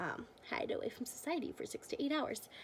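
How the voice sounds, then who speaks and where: A woman talks at a fairly quick pace with fairly even intonation in an unremarkable speaking voice. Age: 20s. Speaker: beauty vlogger. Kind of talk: casual product review to camera.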